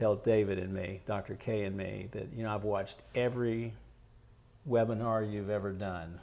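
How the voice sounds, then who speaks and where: A man's fairly low, dark, mellow voice with an American accent, at a moderate pace and with fairly even intonation. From US South, Florida (Lakeland). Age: 70s. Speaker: oral surgeon. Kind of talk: webinar Q&A. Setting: online webinar.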